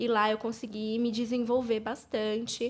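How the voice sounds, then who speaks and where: A woman speaks here. Her voice sits high in pitch. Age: 20s. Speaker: beauty entrepreneur. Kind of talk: casual chat.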